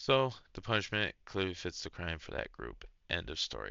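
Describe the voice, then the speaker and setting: Vocal fry from a man with a very deep, low pitch at a moderate pace. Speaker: online content creator reading and reacting to stories. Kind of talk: reading aloud with casual reactions. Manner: halting, stumbles over words; casual, slangy.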